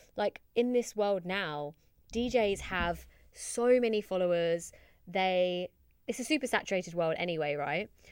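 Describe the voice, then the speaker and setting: A woman with an unremarkable speaking voice, on a very clean recording with a silent background. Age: 20s. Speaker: podcast host and DJ. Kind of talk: solo podcast monologue.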